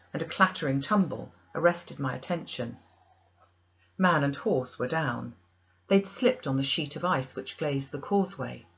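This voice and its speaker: A woman with an unremarkable speaking voice talks at a moderate pace, fairly low in pitch and with lively intonation. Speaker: audiobook reader. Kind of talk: audiobook narration of a classic novel.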